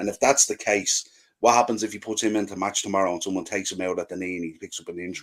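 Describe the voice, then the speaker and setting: A man talks with an Irish accent. His pace is very fast. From Ireland. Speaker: football podcaster. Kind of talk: casual chat.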